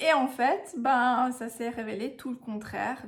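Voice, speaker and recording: Noticeable background noise surrounds the speaker. She is a woman with a fairly high pitch. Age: 30s. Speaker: vlogger, mother. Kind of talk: personal storytelling vlog. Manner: casual, hesitant with frequent fillers.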